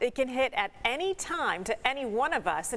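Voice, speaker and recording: A woman's voice with very wide pitch swings. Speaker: TV news anchor. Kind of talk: TV news anchor read.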